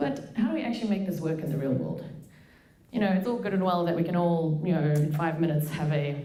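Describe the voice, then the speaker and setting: In a fairly low voice with very even loudness and ordinary pitch variation, a woman speaks at a fairly quick pace amid audible room echo and noticeable background noise. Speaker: machine learning engineer and researcher. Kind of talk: conference talk. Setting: stage with audience. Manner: fast; casual.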